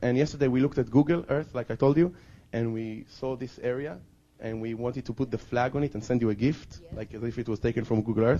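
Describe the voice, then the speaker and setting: A man talks at a very fast pace in a dark, mellow tone. His pitch is medium, with ordinary variation. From Israel, Jerusalem. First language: Hebrew. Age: 20s. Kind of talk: testimony. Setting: outdoors.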